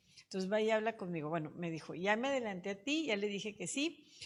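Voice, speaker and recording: A woman with an unremarkable speaking voice, lively intonation and a moderate pace. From Monterrey, northern Mexico. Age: 60s. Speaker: politician, mayor. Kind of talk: interview, personal storytelling.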